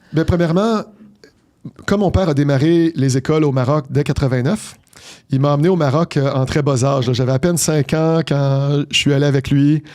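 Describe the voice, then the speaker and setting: A very clean recording with a silent background, moderate pace, ordinary pitch variation and very even loudness. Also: man, fairly high pitch for a man. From Quebec, Montreal. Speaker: business executive. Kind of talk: interview. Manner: articulate.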